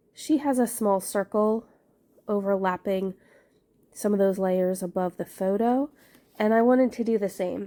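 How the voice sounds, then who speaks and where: A woman with a fairly high pitch and a dark, mellow tone speaks at a moderate pace with ordinary pitch variation, on a very clean recording with a silent background. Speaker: scrapbooking crafter. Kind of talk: crafting tutorial. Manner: casual.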